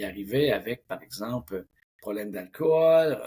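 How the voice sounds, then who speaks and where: In a Quebec accent, a man speaks at medium pitch with very wide pitch swings. His voice is somewhat breathy and his pace fairly slow. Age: 60s. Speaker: mental coach. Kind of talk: interview.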